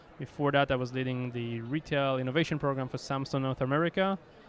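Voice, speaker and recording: A man's medium-pitched voice with a strong Israeli accent and fairly even intonation. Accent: Israeli accent, thick. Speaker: company executive. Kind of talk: interview. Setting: conference.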